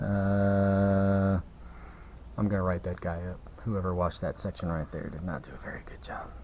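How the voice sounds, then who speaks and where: Over noticeable background noise, a man with fairly low pitch talks at a moderate pace, his intonation fairly even and his loudness swinging widely. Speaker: car detailer. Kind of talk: tutorial. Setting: workshop. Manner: casual.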